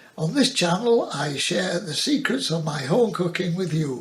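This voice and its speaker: Noticeable background noise sits behind a man speaking at a fairly slow pace, with a high pitch and lively intonation. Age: 80s+. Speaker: home cook. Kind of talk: casual talk to camera. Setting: home kitchen.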